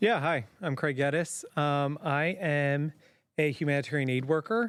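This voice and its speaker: In a very clean recording with a silent background, an ordinary speaking voice with an American accent talks at a fairly slow pace with ordinary pitch variation. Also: man, fairly high pitch for a man. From Zimbabwe. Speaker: humanitarian aid worker. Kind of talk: casual chat. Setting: studio.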